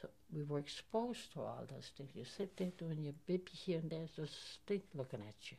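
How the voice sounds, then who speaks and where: A woman with a very deep, low pitch and vocal fry speaks at a moderate pace. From Germany. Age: 70s. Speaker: Holocaust survivor. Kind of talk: testimony. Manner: halting.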